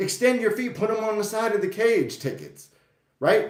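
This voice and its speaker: In a room with audible echo, a man speaks loud and animated at a moderate pace, his pitch high. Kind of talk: casual vlog monologue.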